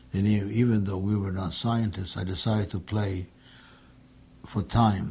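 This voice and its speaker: A man talks at a moderate pace with a fairly low pitch and flat, monotone intonation. His voice is dark, mellow and somewhat breathy. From Poland. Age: 80s+. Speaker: Holocaust survivor. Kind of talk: testimony.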